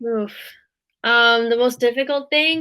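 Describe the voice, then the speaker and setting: In a normal speaking voice, a woman with an American accent talks at a fairly slow pace and a fairly high pitch, captured in a very clean recording with a silent background. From Africa, American by birth. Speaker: online English tutor. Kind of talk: casual chat.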